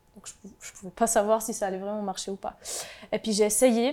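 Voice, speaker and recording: Fairly high-pitched with a dark, mellow tone, a woman speaks at a fairly quick pace in a monotone, flat delivery. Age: 20s. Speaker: mental health advocate, insurance worker. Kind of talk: testimony.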